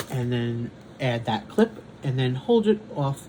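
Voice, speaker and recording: Intonation is lively and the pace fairly slow. Noticeable background noise is present. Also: man. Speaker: diamond painting content creator. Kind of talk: casual chat. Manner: halting.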